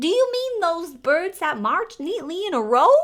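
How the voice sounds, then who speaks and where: A woman's loud, put-on character voice at an extremely high pitch, full of very wide pitch swings. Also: moderate pace. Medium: read story. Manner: loud, blaring.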